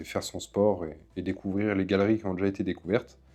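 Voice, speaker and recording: Against a quiet background, a man with a normal speaking voice and fairly low pitch talks at a fairly quick pace. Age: 20s. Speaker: caver and documentary maker. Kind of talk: documentary interview.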